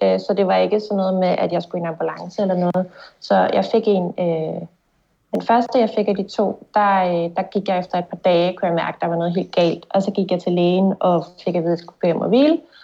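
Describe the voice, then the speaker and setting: Here an ordinary speaking voice runs at a fairly quick pace with fairly even intonation. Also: woman, medium pitch for a woman. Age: 30s. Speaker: concussion patient. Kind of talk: testimony in interview. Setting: video call.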